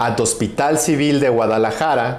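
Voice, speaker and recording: Amid noticeable background noise and audible room echo, a man with fairly high pitch and ordinary pitch variation speaks at a moderate pace. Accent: non-native. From Mexico. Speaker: physician. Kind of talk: recorded medical presentation. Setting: pre-recorded video.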